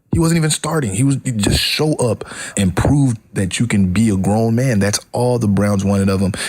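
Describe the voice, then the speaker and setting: Noticeable background noise behind a man at a moderate pace, fairly low in pitch, with ordinary pitch variation and very even loudness. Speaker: radio sports talk host. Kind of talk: sports talk radio show. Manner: opinionated, animated.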